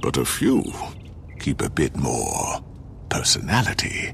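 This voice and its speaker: Clear background noise runs behind a man. He speaks in a put-on character voice at a fairly slow pace. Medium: video game. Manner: calm, dry.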